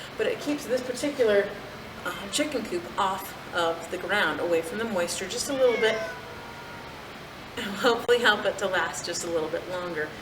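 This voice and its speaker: A woman speaks fairly quickly at medium pitch with lively intonation and long, frequent pauses. Noticeable background noise and audible room echo fill the recording. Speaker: farmer. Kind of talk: tutorial. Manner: fast.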